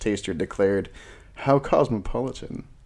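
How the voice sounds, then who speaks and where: Recorded very cleanly against a silent background, a man with a dark, mellow tone speaks at a fairly slow pace. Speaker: podcast co-host. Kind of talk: casual chat.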